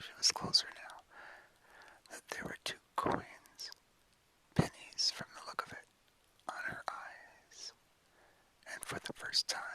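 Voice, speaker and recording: Whispering at a fairly slow pace, a man is recorded with a dry, close sound and no echo, though noticeable background noise is present. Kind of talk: whispered ASMR short story reading. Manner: whispered, soft.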